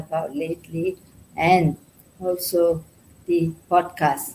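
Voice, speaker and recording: A woman speaks with a fairly low pitch and vocal fry. Her tone is dark and mellow. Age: 60s. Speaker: summit panelist, retiree. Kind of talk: panel discussion.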